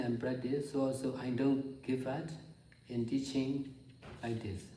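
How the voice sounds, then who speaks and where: With a Burmese accent, a man speaks at a fairly slow pace in a dark, mellow tone that is somewhat breathy. Audible room echo is present. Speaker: meditation teacher. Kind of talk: dharma talk. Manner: halting.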